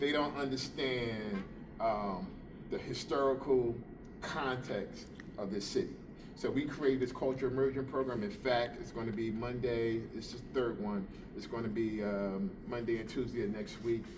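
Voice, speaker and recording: A man in a New Jersey accent talks at a moderate pace, his medium pitch varying in an ordinary way. Room echo is audible. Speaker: police officer. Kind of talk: informal talk to a group. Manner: hesitant, many fillers.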